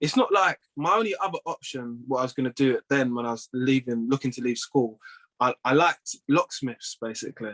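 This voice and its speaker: A man's medium-pitched voice with a London accent and ordinary pitch variation, at a fairly quick pace, in a dry, close sound with no echo. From North London, England. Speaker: plumbing business owner and former judo athlete. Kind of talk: casual interview chat.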